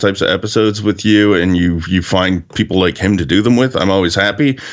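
A man with a normal speaking voice, fairly low in pitch, at a fairly quick pace. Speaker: podcast co-host. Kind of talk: casual chat.

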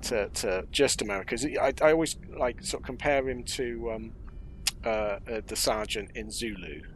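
A man talks at a moderate pace. He has an English accent. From England. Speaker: film podcast co-host. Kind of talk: casual chat.

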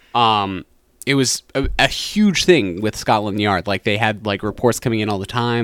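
With an American accent, this is a normal speaking voice at a moderate pace, recorded with a dry, close sound and no echo. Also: man. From US South, western North Carolina. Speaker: podcast co-host. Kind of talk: casual chat.

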